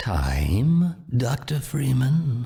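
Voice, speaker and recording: A man puts on a character voice at a medium pitch with ordinary pitch variation. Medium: machinima.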